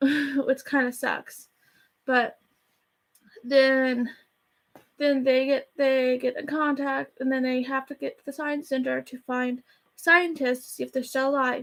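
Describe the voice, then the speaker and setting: A woman with a high-pitched, flat, monotone delivery speaks with long pauses that come often. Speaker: YouTuber movie reviewer. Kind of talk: casual movie review vlog. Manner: fast; rambling, halting with restarts.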